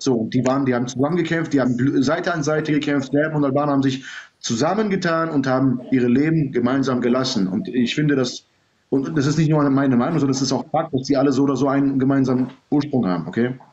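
This man talks very fast in a fairly high pitch, with ordinary pitch variation, very even loudness and light background noise. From Serbian background. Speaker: livestream guest; guest. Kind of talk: heated debate. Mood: argumentative, sometimes smiling. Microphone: phone near.

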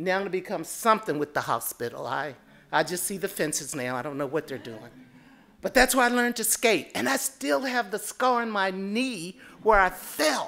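A woman speaks at a moderate pace with very wide pitch swings. Vocal fry runs through her voice. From US South. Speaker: consultant. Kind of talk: panel discussion. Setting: stage with audience. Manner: humorous. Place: hall. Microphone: podium.

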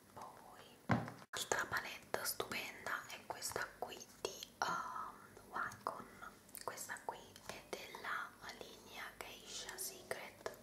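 A soft-spoken woman whispers at a very slow pace against loud background noise. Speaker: beauty ASMR creator. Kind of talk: casual product review chat. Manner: soft ASMR whisper. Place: home room. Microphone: phone near.

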